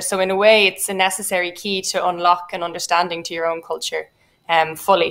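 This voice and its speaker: In an Irish accent, a woman speaks at a fairly quick pace and medium pitch with monotone, flat intonation. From Ireland. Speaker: poet. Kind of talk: panel discussion. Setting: online festival event. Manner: hesitant, many fillers.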